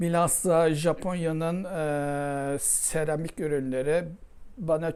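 A woman's very deep, low voice with a dark, mellow tone and ordinary pitch variation. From Istanbul, Turkey. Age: 70s. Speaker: ceramic artist. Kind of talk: interview testimony.

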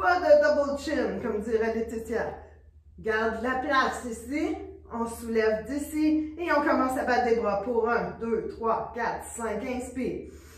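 In a room with audible echo, a woman with a high pitch talks at a very slow pace. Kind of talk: exercise class instruction. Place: studio. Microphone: camera far.

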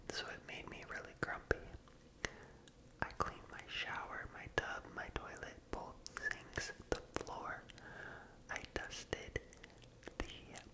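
A man's very slow whisper with an American accent, full of long, frequent pauses. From United States. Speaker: ASMR content creator. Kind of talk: asmr ramble, casual talk to camera. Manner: slow, soft-spoken, whispery. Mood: playful, animated faces.

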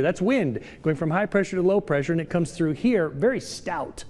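The speaker is a man. He moves at a fairly quick pace. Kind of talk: weather forecast presentation. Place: studio. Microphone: lapel.

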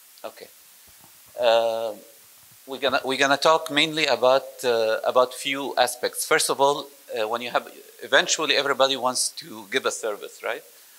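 Talking at a fairly slow pace, a man leaves long, frequent pauses, and his loudness swings widely. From Egypt. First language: Arabic (speaking French). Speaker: IT operations software presenter; presenter. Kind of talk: technical sales presentation. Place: meeting room. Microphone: handheld.

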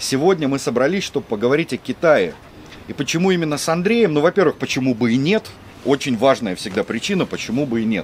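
Amid light background noise, a man talks at a very fast pace with very wide pitch swings. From Russia. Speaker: video blogger living in China. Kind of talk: casual chat. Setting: rooftop. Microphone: camera far.

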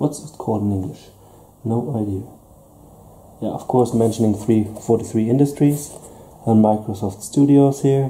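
A man speaks in a dark, mellow, somewhat breathy tone at a fairly slow pace, with ordinary pitch variation and big swings in loudness. He leaves long, frequent pauses, and there is light background noise. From Germany. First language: German. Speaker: tabletop gaming youtuber. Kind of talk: unboxing review. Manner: hesitant. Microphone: camera far.

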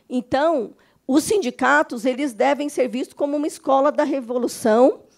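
Her pitch is high as the woman talks at a moderate pace in a quiet background. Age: 50s. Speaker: union lawyer. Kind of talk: lecture. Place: meeting room. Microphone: handheld.

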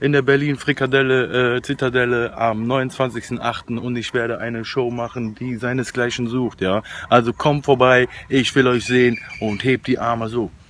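A man talks at a moderate pace in a monotone, flat voice, the sound dry with no echo and light background noise behind him. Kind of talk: casual vlog chat. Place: forest. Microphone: phone near.

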